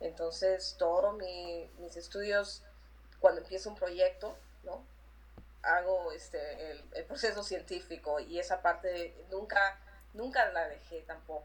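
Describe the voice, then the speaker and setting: Speaking at a very slow pace, a woman lets her loudness swing widely. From Peru, Lima. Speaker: artist and graphic designer. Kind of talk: interview. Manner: halting, many repeated words.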